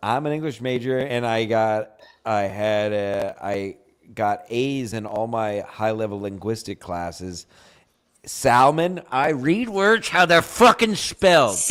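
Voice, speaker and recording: A man talks with a slight Philadelphia accent. His intonation is lively. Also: medium pitch for a man, fairly slow pace. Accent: slight Philly. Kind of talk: casual, profane, defensive.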